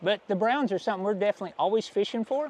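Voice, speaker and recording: In a dry, close sound with no echo, a man talks at a very fast pace in a high pitch. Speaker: fishing guide. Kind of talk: casual chat. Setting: outdoors. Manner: animated.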